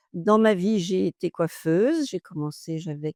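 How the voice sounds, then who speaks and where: A woman's dark, mellow, fairly low voice with ordinary pitch variation, dry and close with no echo, in a very clean recording with a silent background. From Normandy, France. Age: 70s. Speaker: retired hairdresser. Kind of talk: interview.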